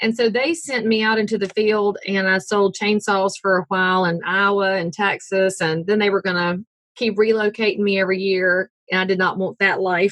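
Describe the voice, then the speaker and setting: In a Southern US accent, a woman of medium pitch talks at a moderate pace with fairly even intonation. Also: very even loudness. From US South, North Carolina. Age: 40s. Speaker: realtor. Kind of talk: interview.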